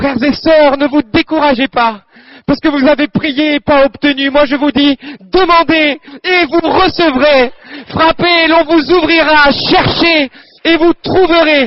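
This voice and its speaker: A man with an extremely high pitch, at a fairly slow pace. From Normandy, France (Calvados). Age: 20s. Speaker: medical student giving a religious testimony. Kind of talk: testimony and exhortation at a prayer assembly. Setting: prayer assembly with audience, microphone. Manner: fervent, preacher-like.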